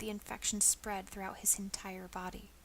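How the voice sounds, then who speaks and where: Soft-spoken and monotone, a woman talks at medium pitch and a moderate pace. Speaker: ASMR storyteller. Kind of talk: reading aloud.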